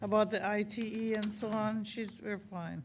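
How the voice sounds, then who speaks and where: With audible room echo, a woman speaks at a fairly high pitch in a somewhat breathy voice with fairly even intonation. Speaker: city commissioner. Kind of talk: public meeting discussion. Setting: city commission meeting. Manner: halting.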